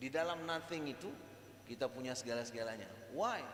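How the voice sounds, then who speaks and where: Background noise is noticeable here. There is audible room echo around the man's voice. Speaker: Islamic religious lecturer. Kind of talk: religious lecture. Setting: mosque with audience. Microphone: microphone too quiet, switched mics.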